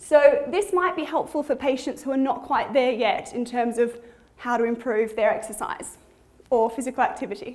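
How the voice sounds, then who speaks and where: A woman with a high pitch and lively intonation is heard through noticeable background noise and audible room echo. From Australia. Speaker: physiotherapist. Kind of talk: conference presentation. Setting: conference hall with audience. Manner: fast.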